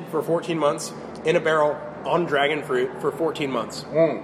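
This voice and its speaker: Moderate pace with an American accent, over noticeable background noise. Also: man. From Florida (St. Petersburg area). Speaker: brewmaster. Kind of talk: casual interview. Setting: brewery. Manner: hesitant, many fillers.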